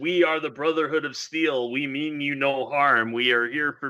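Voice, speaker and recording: Using a put-on character voice, a man booms at a fairly high pitch and a moderate pace. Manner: commanding, authoritative.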